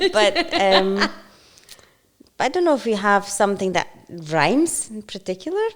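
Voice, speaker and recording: A woman's medium-pitched voice at a moderate pace, with very wide pitch swings and long, frequent pauses. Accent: Polish. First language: Polish. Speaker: podcast co-host. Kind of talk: casual chat. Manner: hesitant, halting.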